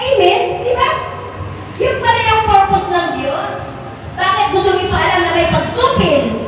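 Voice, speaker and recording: A woman at an extremely high pitch with ordinary pitch variation, a moderate pace broken by long, frequent pauses, audible room echo, and noticeable background noise. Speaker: pastor. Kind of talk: sermon. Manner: loud, sounds angry though not.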